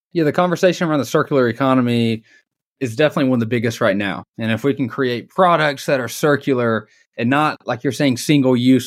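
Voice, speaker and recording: Talking at a very fast pace, a man with a Southern US accent uses ordinary pitch variation. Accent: Southern American. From US South (Dalton, Georgia). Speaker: podcast host. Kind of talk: interview conversation.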